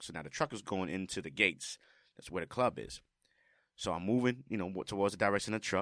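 In a very clean recording with a silent background, a man with a very deep, low pitch speaks in an animated, passionate, bright and sharp tone with ordinary pitch variation. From New York City, the Bronx. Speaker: music producer and drummer. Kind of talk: casual interview. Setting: studio.

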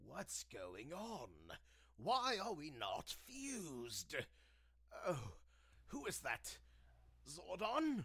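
Using a put-on character voice, a man speaks very slowly at a high pitch, with long, frequent pauses. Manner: scared, then trance-like.

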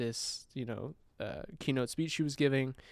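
A man has a plain, everyday voice at a medium pitch with fairly even intonation. The recording is very clean, with a silent background. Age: 20s. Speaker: freelance filmmaker and photographer. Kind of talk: casual chat.

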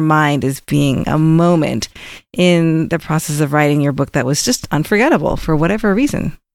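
With an enthusiastic tone, a woman speaks at a fairly quick pace on a very clean recording with a silent background. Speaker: podcast co-host, publishing marketer. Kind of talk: interview. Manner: enthusiastic, laughs often.

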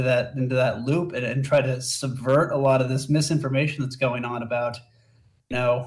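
A man's somewhat breathy voice at a fairly high pitch and fairly quick pace. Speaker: caller. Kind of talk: call-in conversation. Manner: halting.

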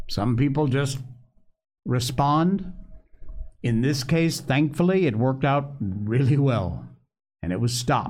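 A man with a medium-pitched, somewhat breathy voice talks at a fairly slow pace with ordinary pitch variation, very even loudness, and long, frequent pauses. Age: 60s. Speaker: political commentator livestream host. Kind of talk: live opinionated commentary show. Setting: live stream studio. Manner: animated, conversational.

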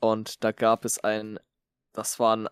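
With a dry, close sound and no echo, the very clean recording of a man has a silent background. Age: 20s. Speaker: podcast co-host, Twitch streamer. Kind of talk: casual chat.

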